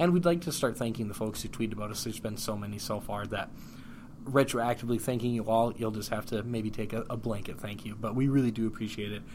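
The speech goes at a very fast pace with ordinary pitch variation. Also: man, medium pitch for a man. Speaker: podcast co-host. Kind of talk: casual chat.

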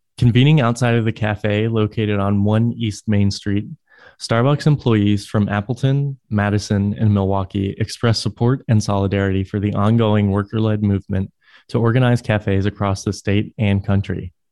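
A man with a fairly low pitch and a dark, mellow tone talks at a moderate pace. His intonation is fairly even, his loudness very even, and the background quiet. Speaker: news reader. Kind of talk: news reading.

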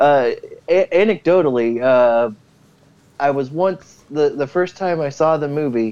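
A man with an unremarkable speaking voice, fairly high in pitch, at a fairly slow pace and with ordinary pitch variation. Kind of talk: casual chat.

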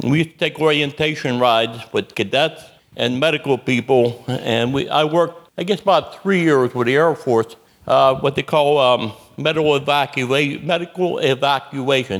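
In an unremarkable speaking voice, a man talks at a moderate pace, fairly high in pitch, with ordinary pitch variation and very even loudness. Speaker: Vietnam veteran. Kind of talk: storytelling at a live event.

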